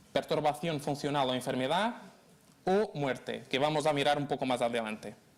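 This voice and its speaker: Speaking at a moderate pace, a man has a fairly high pitch and ordinary pitch variation. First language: Portuguese (speaking Spanish). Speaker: law lecturer. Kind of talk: lecture. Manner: halting.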